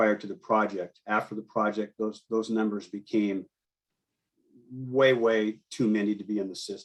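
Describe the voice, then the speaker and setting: In an ordinary speaking voice, a man talks with an American accent at medium pitch and with fairly even intonation. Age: 60s. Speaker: fishing guide. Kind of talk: public comment testimony.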